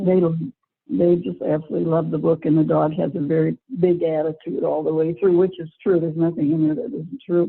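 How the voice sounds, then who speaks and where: Fairly quick and fairly low-pitched, this woman has an unremarkable speaking voice. Her pitch variation is ordinary. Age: 60s. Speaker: children's book author, former teacher and nurse. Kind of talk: interview answer.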